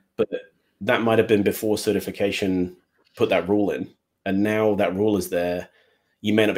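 A man with an English Midlands accent talks at a very fast pace with long, frequent pauses, a fairly low pitch and monotone, flat intonation. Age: 40s. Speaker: Power BI developer. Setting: live online stream from home, puppies nearby.

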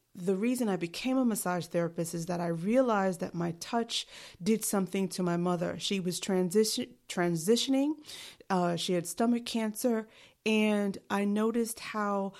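In a New York accent, a woman speaks at a medium pitch and a moderate pace. Her pitch varies in an ordinary way, on a very clean recording with a silent background. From New York City. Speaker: podcast host and life coach. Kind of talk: solo podcast monologue. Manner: dry.

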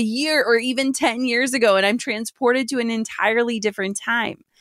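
Pitched fairly high, a woman talks at a moderate pace in a normal speaking voice. The sound is dry and close, with no echo. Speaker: podcast host and business coach. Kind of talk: casual monologue.

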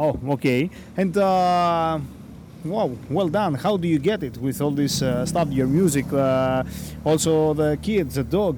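A man's dark, mellow tone at a fairly slow pace, with ordinary pitch variation and long, frequent pauses. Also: fairly high pitch for a man. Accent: Greek. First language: Greek. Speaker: podcast host. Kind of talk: interview. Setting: outdoors on the street. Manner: hesitant, halting English.

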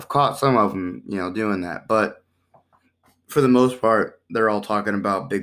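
A man with an American accent has an ordinary speaking voice, talking at a fairly quick pace with ordinary pitch variation in a very clean recording with a silent background. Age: 20s. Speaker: podcast host. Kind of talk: casual chat.

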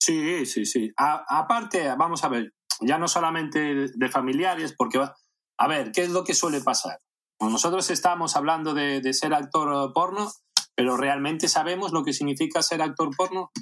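With a plain, everyday voice, a man talks at a fairly high pitch, his pitch varying in an ordinary way. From Spain, A Coruña (raised from age eight, born in Caracas). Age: 40s. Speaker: adult film actor. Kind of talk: casual interview.

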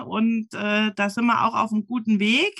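A fairly high-pitched woman with a bright, sharp tone, at a very slow pace. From Saarland. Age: 40s. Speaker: running group admin. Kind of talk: casual interview.

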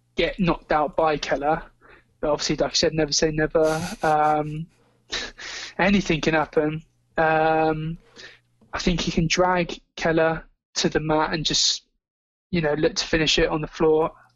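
A man with a southern English accent, fairly high pitch and monotone, flat intonation, at a fairly slow pace with long, frequent pauses. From England, Somerset (Taunton). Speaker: MMA writer and betting analyst. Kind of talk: casual chat.

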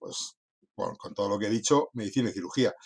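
Very fast and with ordinary pitch variation, a man speaks in a dry, close sound with no echo. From northern Spain (Cantabria coast). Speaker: veterinarian. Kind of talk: interview. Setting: after lunch conversation.

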